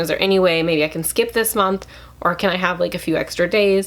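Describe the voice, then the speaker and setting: A woman talks in a medium pitch, keeping her intonation fairly even. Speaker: finance vlogger. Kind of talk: casual talk-to-camera advice. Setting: talking to camera. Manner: fast.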